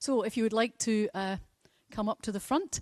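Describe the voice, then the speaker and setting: Here a woman talks with a Scottish accent at a moderate pace. Her pitch is fairly high, with ordinary pitch variation. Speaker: presenter at a ceremony. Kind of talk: formal public speaking.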